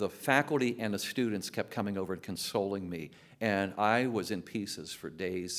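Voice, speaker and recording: With ordinary pitch variation, a man talks on a very clean recording that has a silent background. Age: 60s. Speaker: teacher and former pastor. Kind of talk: testimony.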